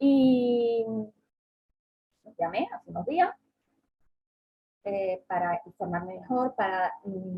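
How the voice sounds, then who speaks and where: A woman at medium pitch, somewhat breathy, at a very slow pace. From southern Spain (Andalusia). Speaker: travel agent and workshop speaker. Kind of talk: online seminar talk. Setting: online seminar.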